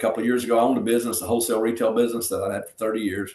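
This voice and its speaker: A man speaks with a Southern US accent. His voice sits at a medium pitch. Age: 60s. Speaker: retired pro wrestler and pastor. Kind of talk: interview. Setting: podcast interview. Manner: casual, storytelling.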